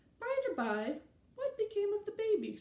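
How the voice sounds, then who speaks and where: A woman uses a put-on character voice, squeaky and at an extremely high pitch. She speaks at a moderate pace. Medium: read story. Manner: cryptic, teasing.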